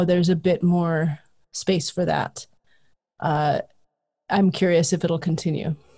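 In an American accent, a woman speaks fairly slowly with a somewhat breathy, dark, mellow tone, fairly low pitch and monotone, flat intonation. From Southern California. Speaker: history professor. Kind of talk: casual interview.

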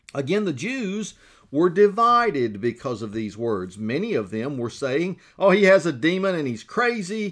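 Speaking with a Southern US accent, a man keeps a moderate pace. His pitch swings very widely, and the recording is very clean with a silent background. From Georgia. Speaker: pastor. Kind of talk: devotional Bible teaching.

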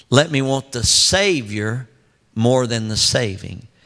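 In a Texan accent, a man speaks very slowly at a medium pitch. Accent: Texan Southern US. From West Texas (Odessa). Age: 60s. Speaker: pastor. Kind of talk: sermon shifting into fervent spoken prayer addressed to God. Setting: church stage with congregation, handheld microphone. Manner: earnest, pleading prayer cadence building with conviction; repetitive, stumbling restarts as he speaks off the cuff.

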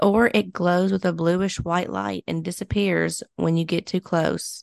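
In a Kentucky accent, the speaker goes at a moderate pace with fairly even intonation, the sound dry and close with no echo against a quiet background. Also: woman. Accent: Kentucky Southern. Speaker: podcast co-host. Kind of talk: casual chat.

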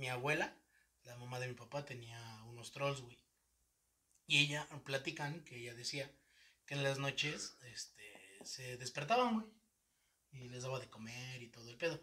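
A medium-pitched man with a Mexican accent and a bright, sharp tone, fairly slow and fairly even in intonation, with big swings in loudness and long, frequent pauses. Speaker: podcast host. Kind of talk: casual chat.

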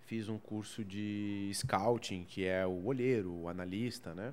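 With fairly even intonation and a fairly low pitch, a man speaks at a very slow pace. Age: 30s. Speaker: sports journalist. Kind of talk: casual interview. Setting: bar recording space.

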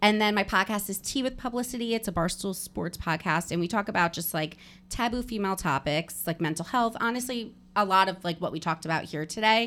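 A woman with an American accent has a plain, everyday voice, medium pitch, ordinary pitch variation and a fairly quick pace, on a very clean recording with a silent background. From New Jersey. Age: 30s. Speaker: podcaster and content creator. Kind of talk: casual interview chat. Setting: office.

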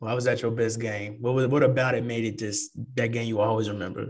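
With a Texan accent, a man talks at a fairly quick pace in a somewhat breathy, medium-pitched voice. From San Antonio, Texas. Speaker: podcast host. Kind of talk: casual interview.

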